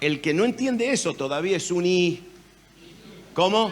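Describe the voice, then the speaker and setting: Noticeable background noise sits under a man whose fairly high voice swings very widely in pitch. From Argentina, Rosario. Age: 70s. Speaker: pastor. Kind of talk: sermon. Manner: animated.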